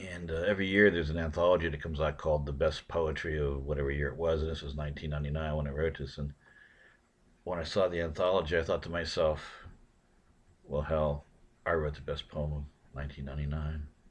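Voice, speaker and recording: A man's very deep, low voice, somewhat breathy and monotone, at a very fast pace against a quiet background. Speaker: poet. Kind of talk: spoken introduction to a poem.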